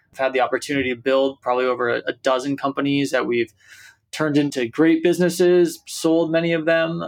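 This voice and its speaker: A man's fairly high voice at a very fast pace, with ordinary pitch variation and very even loudness. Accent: American. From San Francisco, US. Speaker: startup founder and CEO. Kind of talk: interview.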